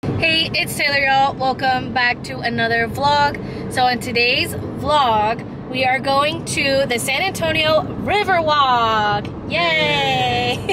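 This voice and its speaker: A woman speaks very slowly in a raised, projected voice with ordinary pitch variation. The sound is dry with no echo, and noticeable noise runs in the background. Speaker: vlogger. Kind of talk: casual vlog chat. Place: car. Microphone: phone near.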